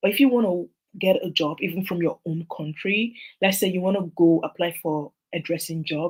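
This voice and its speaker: Soft-spoken and somewhat breathy, a woman talks at a moderate pace in a medium pitch. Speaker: immigration consultant. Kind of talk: tutorial.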